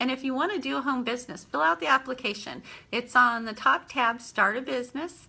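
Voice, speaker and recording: A woman with a slight country accent talks in a high, bright, sharp voice with an animated tone. The recording is very clean, with a silent background. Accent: slight country twang. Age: 50s. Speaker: home business owner. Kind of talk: live stream monologue. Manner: halting, with fillers.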